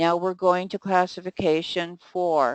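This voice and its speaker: A woman with an ordinary speaking voice talks at a fairly slow pace and medium pitch, the sound dry and close with no echo against a quiet background. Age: 60s. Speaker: skincare educator. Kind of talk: lecture.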